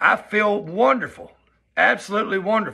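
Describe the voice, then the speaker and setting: A man's raised, projected voice, high-pitched with a bright, sharp tone and a Southern US accent. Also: quiet background. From US South. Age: 40s. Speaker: vlogger. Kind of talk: personal vlog monologue. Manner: casual, conversational. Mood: upbeat, earnest. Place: home room. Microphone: phone near.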